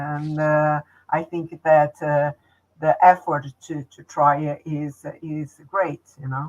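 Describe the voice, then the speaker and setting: A woman's very deep, low voice with a Portuguese accent, monotone and flat, at a very slow pace with big swings in loudness, in a dry, close sound with no echo. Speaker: holistic therapist and channel host. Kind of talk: interview. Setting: livestream. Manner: halting.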